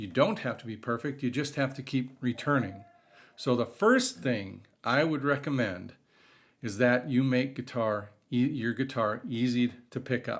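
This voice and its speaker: Its pitch varies in an ordinary way. This is an ordinary speaking voice. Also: man, very clean recording, silent background. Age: 50s. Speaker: guitar hobbyist vlogger. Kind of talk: casual talk to camera.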